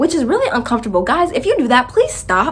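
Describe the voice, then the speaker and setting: A woman's words come through with noticeable background noise behind them. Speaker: vlogger. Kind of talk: storytelling. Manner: animated.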